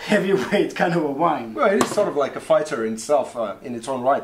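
A man speaks at a fairly quick pace with lively intonation. Light background noise sits behind him. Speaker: wine show host. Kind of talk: casual wine tasting chat. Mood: jokey, laughing. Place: home room.

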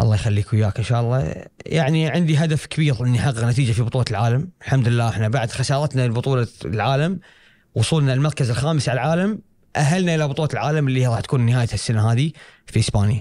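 With a Kuwaiti accent, a man talks very fast in a dark, mellow, somewhat breathy tone, with ordinary pitch variation and very even loudness, the sound dry with no echo against a quiet background. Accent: Kuwaiti Gulf Arabic. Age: 20s. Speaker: karate athlete; guest. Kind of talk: interview. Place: studio. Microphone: studio mic.

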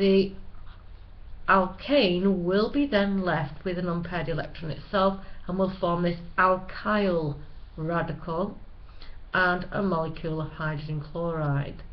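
In a Manchester accent, a woman speaks at a fairly slow pace and a fairly low pitch, with ordinary pitch variation and long, frequent pauses. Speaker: chemistry teacher. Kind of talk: educational lecture narration. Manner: plain, no-frills.

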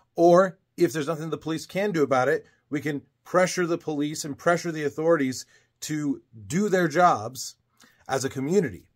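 A man's fairly high voice at a moderate pace, ordinary in pitch variation, over a quiet background. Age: 30s. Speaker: social media creator. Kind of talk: channel introduction monologue. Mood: earnest, serious. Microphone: phone near.

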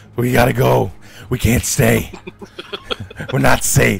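A put-on character voice with very wide pitch swings, at a fairly slow pace. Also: man, very deep, low pitch for a man. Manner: frantic, urgent, repeating himself.

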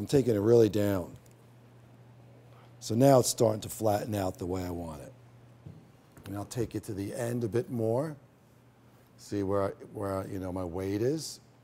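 There are long, frequent pauses and big swings in loudness as a man with a fairly low, dark, mellow voice talks at a moderate pace. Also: ordinary pitch variation. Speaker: hairstylist educator. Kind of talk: tutorial. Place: stage.

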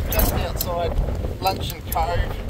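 A man's dry voice with no echo over loud background noise. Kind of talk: casual vlog chat. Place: boat. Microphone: phone near.

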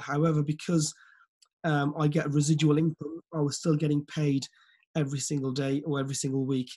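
This man talks at a fairly quick pace in a fairly high, somewhat breathy voice. His intonation stays monotone and flat. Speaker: forex business mentor and team leader. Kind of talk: motivational training webinar. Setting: video call.

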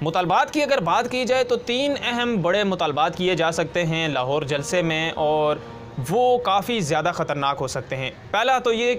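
The man speaks fairly slowly over faint background music. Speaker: political news commentator. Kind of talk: news commentary. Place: studio. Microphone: lapel.

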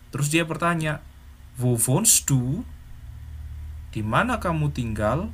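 A man is speaking. His intonation is lively. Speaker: German language teacher. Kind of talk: tutorial. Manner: animated.

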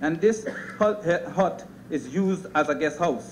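With light background noise behind him, a man speaks at a high pitch with ordinary pitch variation. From Guyana. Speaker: politician. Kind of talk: parliamentary speech. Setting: parliament chamber. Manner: formal. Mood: critical, measured. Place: hall. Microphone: podium.

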